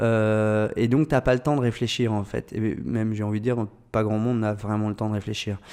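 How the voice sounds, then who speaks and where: In a very clean recording with a silent background, a man speaks at a moderate pace with a fairly low pitch, a dark, mellow tone and fairly even intonation. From France, Orléans area. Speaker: agency founder, entrepreneur. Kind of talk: podcast interview. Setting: agency office. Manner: hesitant with many fillers.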